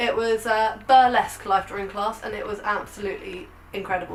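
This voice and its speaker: Talking at a fairly quick pace, a woman with a fairly high pitch and ordinary pitch variation is heard over noticeable background noise. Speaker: photographer and lifestyle vlogger. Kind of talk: casual vlog. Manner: animated.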